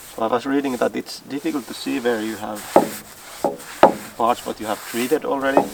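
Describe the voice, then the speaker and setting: With noticeable background noise, a man talks at a fairly quick pace in a medium pitch, his intonation fairly even and broken by long, frequent pauses. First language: Finnish. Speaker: DIY builder. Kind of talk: tutorial. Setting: outdoors. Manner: halting.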